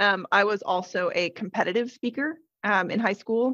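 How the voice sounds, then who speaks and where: The voice carries vocal fry at a moderate pace. The sound is dry and close, with no echo. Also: woman. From Idaho, US. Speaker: conference speaker, digital strategist. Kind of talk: podcast interview.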